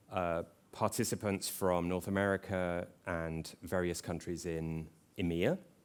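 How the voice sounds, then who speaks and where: An English accent comes through in this man's speech. His pitch is very deep and low, and his intonation stays flat and monotone. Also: fairly slow pace. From England. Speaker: conference speaker, tech company representative. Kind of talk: conference presentation.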